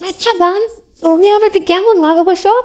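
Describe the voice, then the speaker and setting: A squeaky, put-on character voice from a woman, pitched extremely high. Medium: comedy sketch. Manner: coy, sweet.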